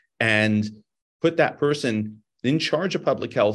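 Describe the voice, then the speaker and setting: Here a man speaks with a Californian accent. His intonation is lively and his pace moderate. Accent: California American. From Los Angeles, San Fernando Valley. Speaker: ophthalmologist and research scientist. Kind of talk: interview. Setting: remote video call, on the road.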